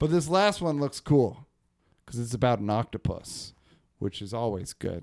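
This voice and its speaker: On a very clean recording with a silent background, a man with an American accent speaks at a moderate pace in a medium pitch, with very wide pitch swings. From northern California, Humboldt. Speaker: podcast host. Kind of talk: casual chat.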